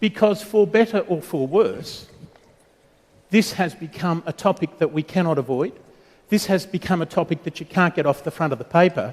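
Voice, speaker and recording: A man speaks with an Australian accent and a high pitch. His pace is moderate and his pitch variation ordinary. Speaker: panel moderator. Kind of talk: conference panel introduction. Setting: conference stage with audience.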